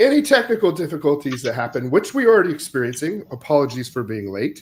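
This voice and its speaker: Lively intonation marks this Midwestern American accent, heard in a very clean recording with a silent background. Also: man. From US Midwest (Iowa). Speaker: podcast host. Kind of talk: casual chat.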